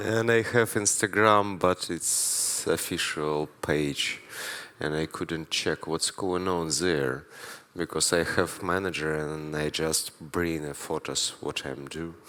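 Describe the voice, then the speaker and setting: A man talks very slowly at a very deep, low pitch with ordinary pitch variation. His tone is bright and sharp. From Ukraine. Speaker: street artist. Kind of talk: stage interview. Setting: live event with audience. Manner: halting non-native English.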